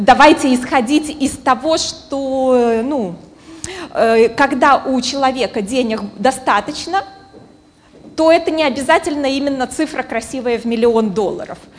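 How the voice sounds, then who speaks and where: Noticeable background noise runs under a woman's speech. Her voice is high-pitched, broken by long, frequent pauses. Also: ordinary pitch variation, fairly slow pace. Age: 30s. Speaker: psychologist and business coach. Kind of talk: conference talk. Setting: stage with audience.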